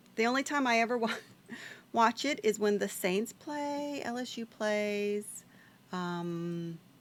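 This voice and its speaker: Speech comes at a very slow pace. The speaker has a Louisiana accent. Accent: US Southern (Louisiana). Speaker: video game streamer. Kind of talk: casual gameplay stream chat. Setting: live stream. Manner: casual, thinking aloud.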